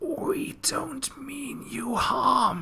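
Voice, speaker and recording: This is a put-on character voice, soft-spoken yet growling. It sounds guttural. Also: man, extremely high pitch for a man. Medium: machinima. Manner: snarling.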